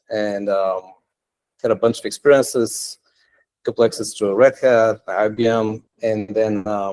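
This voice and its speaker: With a non-native accent, a man speaks fairly slowly in a fairly low, monotone, flat voice. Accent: foreign. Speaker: tech entrepreneur and meetup speaker. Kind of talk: technical meetup talk. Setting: meetup room with live audience. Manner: casual, many filler words.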